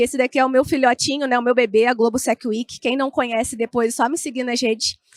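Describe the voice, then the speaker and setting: A woman with a Carioca accent, high-pitched and fairly quick, in a dry, close recording with no echo. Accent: carioca, with the hissing S. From Rio de Janeiro state, Brazil (Niterói). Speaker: information security analyst, speaker. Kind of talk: conference talk. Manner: informal, many fillers.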